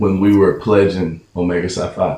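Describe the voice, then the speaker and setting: A man with a fairly low pitch at a fairly slow pace. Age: 60s. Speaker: fraternity member and mentor. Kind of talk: interview.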